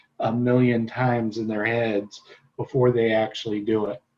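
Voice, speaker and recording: A man speaks at a moderate pace with a medium pitch in an ordinary speaking voice. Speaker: real estate trainer. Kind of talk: lecture. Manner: casual, filler-heavy.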